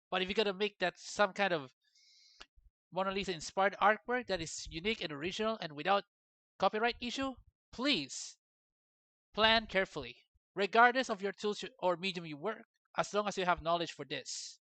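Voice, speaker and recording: At a fairly quick pace broken by long, frequent pauses, the speaker talks with a non-native accent. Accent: non-native English accent, self-noted. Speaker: 3D artist and vlogger. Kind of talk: casual opinion vlog.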